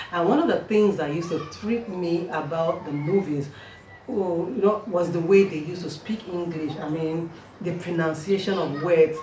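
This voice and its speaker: A woman with a Nigerian accent speaks at a fairly low pitch and a moderate pace, with ordinary pitch variation. Noticeable background noise runs under her voice. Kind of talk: casual talk to camera.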